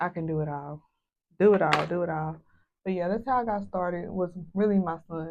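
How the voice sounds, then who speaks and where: With an American accent, a woman speaks at a fairly quick pace and a fairly low pitch, using ordinary pitch variation and long, frequent pauses. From US South. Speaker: hairstylist and beauty vlogger. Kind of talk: casual vlog chat.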